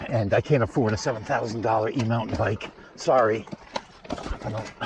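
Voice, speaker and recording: Noticeable background noise sits behind a man speaking at a medium pitch and a fairly quick pace with fairly even intonation. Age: 60s. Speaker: vlogger, e-bike rider. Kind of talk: casual vlog commentary while riding. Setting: outdoors on a bike trail. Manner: casual, halting with fillers.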